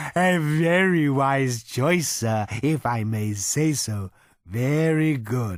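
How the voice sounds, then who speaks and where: A put-on character voice from a man, medium-pitched and very slow, on a very clean recording with a silent background. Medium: read story. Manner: courteous, ingratiating waiter; placid, contented.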